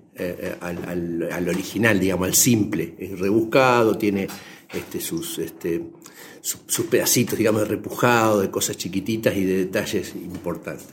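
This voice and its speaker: In a room with audible echo, a man speaks at a moderate pace in a fairly low pitch with ordinary pitch variation. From Argentina, Buenos Aires province. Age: 70s. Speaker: leather craftsman and teacher. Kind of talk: radio interview.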